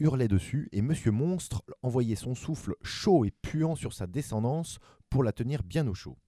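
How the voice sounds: A natural reading voice is heard here.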